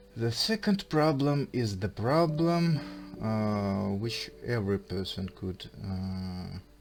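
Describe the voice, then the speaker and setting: Very slowly, a man speaks in a Russian accent. His medium pitch carries lively intonation. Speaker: vlogger. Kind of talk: casual monologue. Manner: halting.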